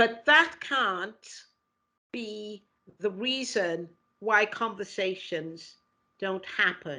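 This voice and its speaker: A woman with a strong Welsh accent, medium pitch, bright, sharp tone, lively intonation, big swings in loudness and a very slow pace. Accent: Welsh, heavy. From Wales, Cardiff. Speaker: equality and diversity lead. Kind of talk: interview conversation. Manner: repeats words often, halting.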